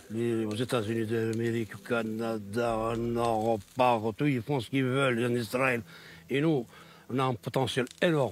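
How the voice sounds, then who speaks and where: A man talks fairly slowly. His voice is medium in pitch. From Morocco, Rif region. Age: 60s. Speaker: cannabis farmer and activist. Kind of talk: interview. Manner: animated.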